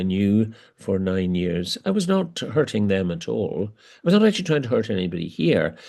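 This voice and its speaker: This man speaks with a Northern Irish accent at a fairly low pitch. His tone is dark and mellow. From Northern Ireland, border area. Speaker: archbishop. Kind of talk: interview conversation. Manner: hesitant, with many fillers.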